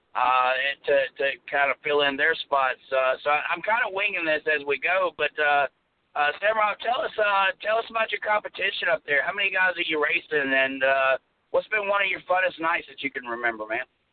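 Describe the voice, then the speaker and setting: A man's lively intonation in a Southern US accent. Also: fairly high pitch for a man, moderate pace. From US South. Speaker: radio host. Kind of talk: casual chat. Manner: animated.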